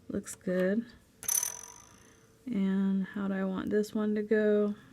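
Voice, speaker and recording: Soft-spoken woman at medium pitch, very slow pace and monotone, flat intonation, amid noticeable background noise. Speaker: crafts video creator. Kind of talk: tutorial.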